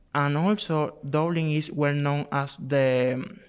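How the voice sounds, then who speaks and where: A man with a Spanish accent speaks at a fairly slow pace with fairly even intonation. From Cuba. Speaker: graduate student. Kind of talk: interview. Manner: halting.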